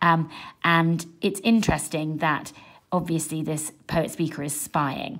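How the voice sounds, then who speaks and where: A woman's very deep, low voice over a quiet background. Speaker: english teacher. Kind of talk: tutorial. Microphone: phone near.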